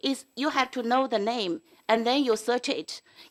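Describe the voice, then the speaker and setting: A woman's high voice at a fairly slow pace with ordinary pitch variation, on a very clean recording with a silent background and a dry, close sound with no echo. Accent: non-native. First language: not English. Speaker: school board trustee. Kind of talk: board meeting debate. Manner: halting.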